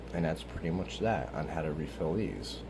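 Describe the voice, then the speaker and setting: A man speaks quietly at a very fast pace, with a very deep, low pitch and vocal fry. His tone is dark and mellow, and audible room echo surrounds him. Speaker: YouTuber doing a vape tutorial. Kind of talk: tutorial. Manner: casual, filler-heavy.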